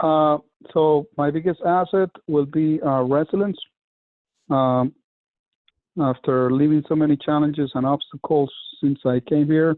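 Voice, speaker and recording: A man at a fairly slow pace with long, frequent pauses and fairly even intonation. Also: fairly high pitch for a man, very even loudness. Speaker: networking group member. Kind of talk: video call group discussion. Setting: video call. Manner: halting, many fillers.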